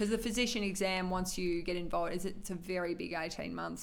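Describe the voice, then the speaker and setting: In an Australian accent, a woman speaks fairly quickly at a fairly low pitch with fairly even intonation and vocal fry. Audible room echo surrounds her voice. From Australia, regional northern Victoria (Shepparton). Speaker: cardiology doctor. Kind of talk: interview. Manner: hesitant, many fillers.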